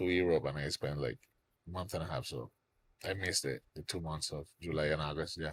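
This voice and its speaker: A man with a Cuban accent talks at a fairly quick pace in a very deep, low pitch with vocal fry. His pitch varies in an ordinary way, and the sound is dry and close with no echo. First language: Spanish. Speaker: songwriter. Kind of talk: casual chat.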